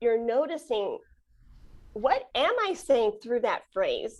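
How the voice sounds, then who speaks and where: A woman speaks at a fairly slow pace with a Chicago accent and lively intonation. The background is quiet. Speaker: flutist and podcast host. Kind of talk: interview conversation.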